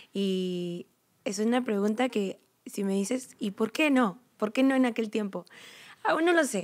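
Here a woman speaks at a fairly slow pace. The background is quiet. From Mexico, Uruapan, Michoacán; Michoacán, Mexico. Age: 20s. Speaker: program graduate, church volunteer; podcast guest. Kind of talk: casual chat. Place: hall. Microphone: studio mic.

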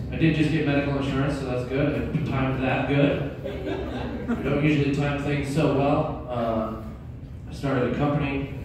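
A fairly high-pitched man at a moderate pace, with noticeable background noise and strong room echo. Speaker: stand-up comedian. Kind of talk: raunchy self-deprecating stand-up set. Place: stage.

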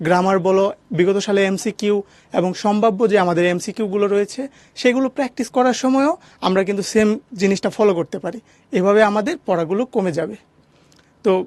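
This man talks with a high pitch. His sound is dry and close, without any echo. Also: ordinary pitch variation. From Bangladesh, Jamalpur. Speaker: university law student. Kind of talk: advice talk to students.

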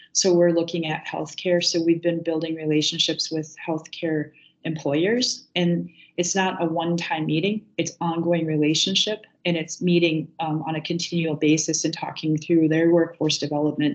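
A woman's fairly low, flat monotone at a moderate pace, with an American accent. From US Midwest. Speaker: nonprofit executive director. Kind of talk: panel discussion. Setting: video call. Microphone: video call.

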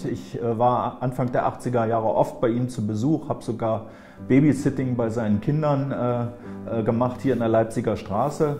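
Over clear background music, a man speaks with fairly even intonation. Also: moderate pace. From Thuringia, East Germany. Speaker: politician, former East Berlin mayor. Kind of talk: interview answer. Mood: calm, reflective recollection. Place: office. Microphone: lapel.

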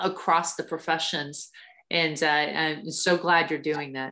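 A woman with an American accent speaks fairly slowly in a fairly low pitch, her bright, sharp tone delivered with monotone, flat intonation. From Ohio, US Midwest. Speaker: army officer and physical therapist. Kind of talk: talk to students.

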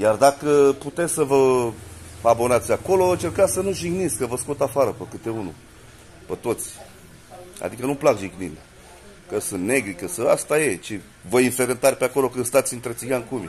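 The speech moves at a fairly quick pace with lively intonation over light background noise. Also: man, medium pitch for a man. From Romania. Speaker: vlogger. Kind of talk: casual house tour vlog. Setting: at home. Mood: defensive, mocking. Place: street. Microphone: phone near.

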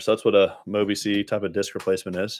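In a Texan accent, a man with a fairly low pitch talks at a fairly quick pace, his voice dry with no echo against a quiet background. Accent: Texan American. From Dallas, Texas; Texas. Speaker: spine surgeon. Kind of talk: live-stream Q&A. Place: home room. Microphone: studio mic.

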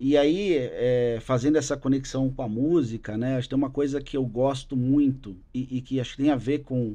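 Speaking at a fairly slow pace, this man has a dark, mellow tone. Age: 40s. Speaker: business executive and drummer; podcast guest. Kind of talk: casual interview chat. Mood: relaxed, conversational. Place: studio. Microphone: studio mic.

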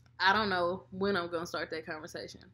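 Talking at a very fast pace, a woman uses a fairly low pitch. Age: 20s. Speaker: mom vlogger. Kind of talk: casual chat. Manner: loud. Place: home room. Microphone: webcam.

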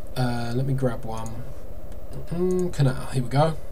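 Over light background noise, a man speaks at a moderate pace with fairly even intonation. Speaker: marketing consultant. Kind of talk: tutorial. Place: home room.

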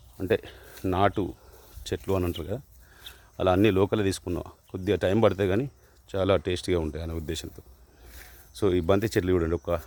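On a very clean recording with a silent background, a man speaks with a very deep, low pitch and fairly even intonation. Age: 50s. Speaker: hobby farmer vlogger. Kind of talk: casual vlog talk. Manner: halting.

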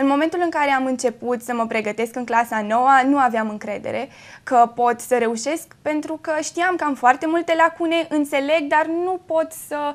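This woman's voice is high-pitched, with ordinary pitch variation. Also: moderate pace. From Romania, Făgăraș area; Romania. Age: young. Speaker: high school graduate; guest. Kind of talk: TV interview. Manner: hesitant with fillers. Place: studio. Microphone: lapel.

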